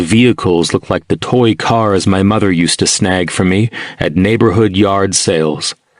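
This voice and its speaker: A man with a normal speaking voice talks at a fairly slow pace in a fairly low pitch. The sound is dry and close with no echo, and his pitch variation is ordinary. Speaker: audiobook narrator.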